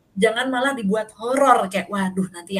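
The voice moves at a fairly quick pace with lively intonation. Background noise is noticeable. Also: woman. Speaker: podcast host. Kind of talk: casual chat.

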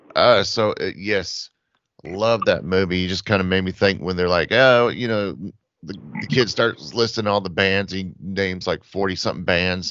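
A man speaks with an American accent. His voice is very deep and low, with ordinary pitch variation. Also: moderate pace. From Atlanta area, US South. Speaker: podcast host. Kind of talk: casual chat.

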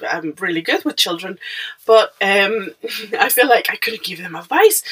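A woman speaks with a Mexican accent. Her tone is animated. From Mexico. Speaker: podcaster. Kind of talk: casual monologue. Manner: hesitant, many fillers; animated, laughing.

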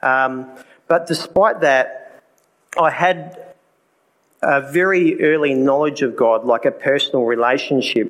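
With an Australian accent, a man of medium pitch talks at a fairly slow pace with ordinary pitch variation. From South Australia. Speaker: speaker giving a personal testimony at a church event. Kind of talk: testimony. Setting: live talk in a room with an audience.

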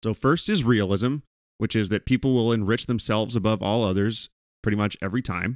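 With a very clean recording, a silent background and dry, close sound with no echo, a man speaks fairly quickly in an unremarkable speaking voice at a medium pitch and fairly even intonation. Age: 30s. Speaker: political podcast host. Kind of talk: solo commentary monologue.

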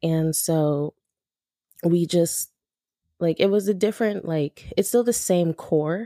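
Speaking at a fairly slow pace with a Californian accent, a woman has a fairly low pitch and a dark, mellow tone, captured in a very clean recording with a silent background and a dry, close sound with no echo. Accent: Californian American English. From Los Angeles, South Central and San Fernando Valley. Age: 20s. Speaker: aspiring music manager. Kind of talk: casual interview chat.

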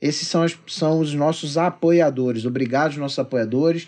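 Here is an unremarkable speaking voice from a man, pitched fairly high. He talks at a moderate pace with fairly even intonation. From Magé, Rio de Janeiro state. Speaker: podcast host. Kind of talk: casual chat.

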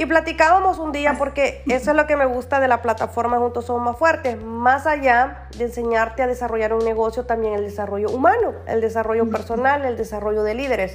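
A woman speaks at a high pitch. She leaves hardly any pauses. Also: ordinary pitch variation. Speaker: life coach and podcast host. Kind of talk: interview. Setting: live stream video call. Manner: warm, encouraging.

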